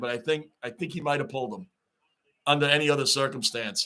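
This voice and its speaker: Very fast and animated, a man with a New York accent speaks at a fairly high pitch in a bright, sharp tone, with ordinary pitch variation. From Long Island, New York. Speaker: YouTube live streamer, hockey fan. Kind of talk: live-stream watch-along chat.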